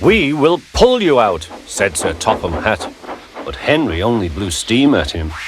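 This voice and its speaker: Over music in the background, a man speaks at a fairly slow pace. His pitch swings very widely. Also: medium pitch for a man. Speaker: narrator. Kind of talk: children's story narration.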